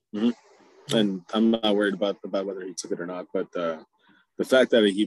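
A man with a normal speaking voice talks at a fairly low pitch. His pace is fairly quick, and the sound is dry and close with no echo. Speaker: podcast co-host. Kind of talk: casual chat.

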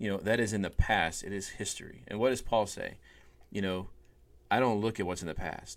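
This man has a plain, everyday voice. His pitch is fairly low and his intonation fairly even. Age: 40s. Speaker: minister and podcast co-host. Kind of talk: casual faith discussion podcast.

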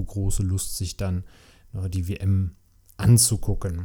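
A man speaks with fairly low pitch in a dark, mellow, somewhat breathy tone. The recording is very clean with a silent background. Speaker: podcast host and dad. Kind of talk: angry rant. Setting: home recording with a beer. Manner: frustrated, ranting; casual, chatty, sarcastic.

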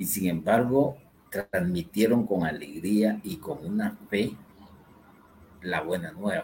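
Lively intonation marks this man's somewhat breathy, fairly low voice. He speaks at a very slow pace with long, frequent pauses. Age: old. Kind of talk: religious teaching talk.

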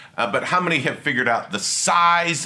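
An animated male voice in a room with audible echo. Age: 50s. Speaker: attorney and conference speaker. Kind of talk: lecture. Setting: stage with audience.

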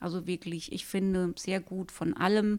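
Speaking very slowly, a woman keeps a medium pitch that varies in an ordinary way. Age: 50s. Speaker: librarian. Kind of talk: casual book review chat.

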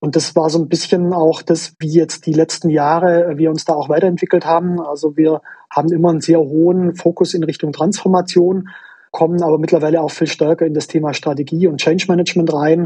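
Speaking at a fairly quick pace in a Swabian accent, this man has a high pitch, a dark, mellow tone and a monotone, flat intonation. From Swabia, southwestern Germany. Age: 30s. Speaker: management consultant. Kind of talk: interview. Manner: hesitant with fillers.

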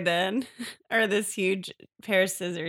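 With a quiet background behind it, the recording holds an unforced reading voice.

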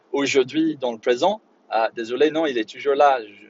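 With an English accent, a man speaks at a moderate pace, his pitch medium and his intonation fairly even. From Northern Ireland, Belfast. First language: English (speaking French). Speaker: English teacher and podcast host. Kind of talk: solo educational podcast monologue. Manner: halting, many fillers and repetitions.

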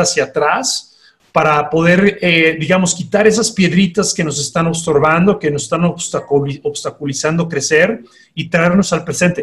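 Speech moves at a fairly slow pace. The intonation stays fairly even. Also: man. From Panama, then Mexico from secondary school. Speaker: life coach. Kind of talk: interview.

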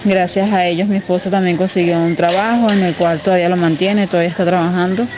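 A woman's fairly low, monotone voice with flat intonation at a moderate pace, over noticeable background noise. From Venezuela, Carabobo state. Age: 20s. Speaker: migrant mother. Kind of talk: testimony.

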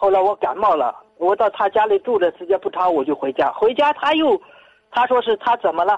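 A woman speaks at medium pitch and a fairly quick pace. Her pitch swings very widely, in a dry, close sound with no echo. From Tianshui, Gansu. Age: 60s. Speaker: caller, retired worker. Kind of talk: personal story on call-in show. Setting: phone call. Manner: halting.

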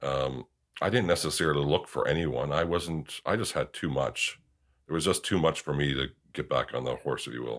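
This man's voice is very deep and low in pitch, with vocal fry. The recording is very clean, the background silent. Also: ordinary pitch variation, moderate pace. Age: 40s. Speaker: widower sharing personal story. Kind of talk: interview about grief.

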